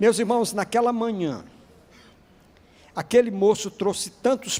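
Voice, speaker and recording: A man amid noticeable background noise. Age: 60s. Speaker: pastor. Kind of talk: sermon.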